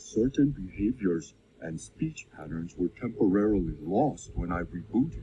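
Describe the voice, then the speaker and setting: A man puts on a cartoonish, robotic character voice with fairly low pitch and a moderate pace. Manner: formal, robotic phrasing.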